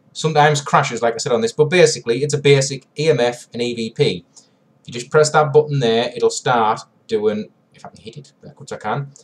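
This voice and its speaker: Somewhat breathy, this voice shows ordinary pitch variation and big swings in loudness. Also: man, fairly high pitch for a man. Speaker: paranormal investigator, tech reviewer. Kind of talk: tutorial. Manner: casual, hesitant.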